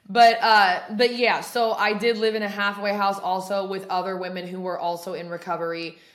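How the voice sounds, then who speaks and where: Amid noticeable background noise and audible room echo, a woman talks at a fairly quick pace with fairly even intonation. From Oregon. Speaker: podcast host, person in addiction recovery. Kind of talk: casual chat. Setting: apartment. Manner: loud.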